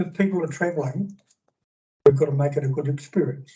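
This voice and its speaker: In a New Zealand accent, a man talks with a dark, mellow tone and ordinary pitch variation. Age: 60s. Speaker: public submitter, businessman. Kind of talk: public submission at council hearing. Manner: halting.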